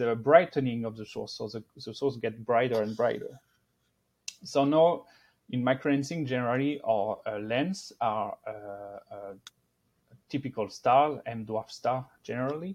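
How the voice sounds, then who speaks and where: Against a quiet background, the voice moves at a moderate pace. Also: man. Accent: French. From France. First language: French. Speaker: astrophysicist. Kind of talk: interview. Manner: halting.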